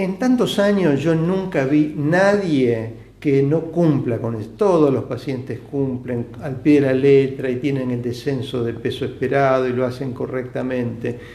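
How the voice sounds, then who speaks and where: A man at medium pitch speaks at a fairly slow pace with hardly any pauses and ordinary pitch variation, his voice carrying audible room echo. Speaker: bariatric surgeon. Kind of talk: live Q&A stream. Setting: live video stream from clinic.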